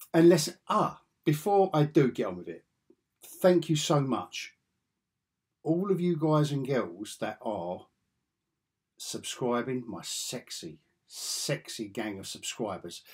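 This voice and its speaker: Over a quiet background, a man with a fairly high pitch and vocal fry talks at a very slow pace, his pitch swinging very widely. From England. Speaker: comics YouTuber. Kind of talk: casual vlog chat. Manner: animated; repetitive, stammering restarts. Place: home room.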